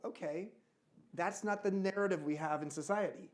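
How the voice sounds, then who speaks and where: Speaking at a moderate pace with an American accent, a man uses ordinary pitch variation. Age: 60s. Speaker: author and speaker. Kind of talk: fireside chat before a live audience. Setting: stage with audience.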